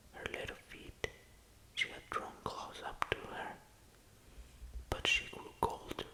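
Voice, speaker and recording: A man whispers at a very slow pace, with long, frequent pauses and big swings in loudness, over noticeable background noise. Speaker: ASMR reading host. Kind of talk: sleep story reading. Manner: soft-spoken, slow.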